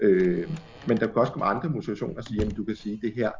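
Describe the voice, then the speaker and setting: A man talks fairly quickly in a fairly low pitch. His voice is somewhat breathy. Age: 40s. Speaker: journalist and editor. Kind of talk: casual chat. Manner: hesitant, many fillers.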